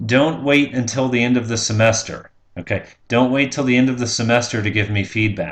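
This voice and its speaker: A man's voice with audible room echo. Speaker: college instructor. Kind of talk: pre-recorded lecture. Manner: hesitant fillers.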